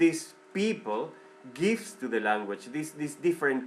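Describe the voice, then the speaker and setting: A man with a Spanish accent, a fairly high pitch and an animated tone, with music in the background. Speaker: vlogger. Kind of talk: opinion monologue. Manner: halting, repetitive; animated, heated.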